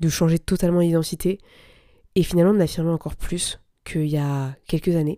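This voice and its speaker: A woman speaks at a fairly low pitch in a dark, mellow tone with monotone, flat intonation. The recording is very clean, with a silent background. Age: 20s. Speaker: business coach and podcast host. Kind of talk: solo podcast monologue. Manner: casual, conversational with fillers.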